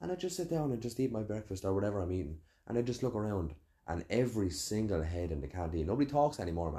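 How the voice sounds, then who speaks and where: With an Irish accent, a man speaks very fast in a somewhat breathy, dark, mellow tone. His pitch sits fairly low but swings very widely. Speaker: podcast host and chef. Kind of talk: casual chat.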